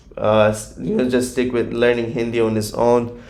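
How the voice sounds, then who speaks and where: Audible room echo carries a man's medium-pitched voice, flat and monotone, in a Gujarati accent. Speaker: YouTube reaction creator. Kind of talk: casual vlog commentary. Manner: hesitant, filler-heavy.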